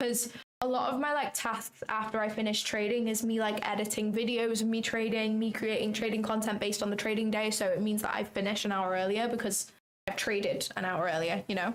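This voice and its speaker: A woman with a British accent speaks at a fairly quick pace with fairly even intonation. Her loudness stays very even. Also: fairly high pitch for a woman. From England. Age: 20s. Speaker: trading streamer. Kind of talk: live stream commentary. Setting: livestream from home. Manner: casual, chatty.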